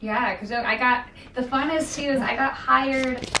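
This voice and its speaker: Loud and high-pitched, a woman speaks at a fairly slow pace with fairly even intonation, amid audible room echo and noticeable background noise. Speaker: princess character performer. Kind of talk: casual introduction.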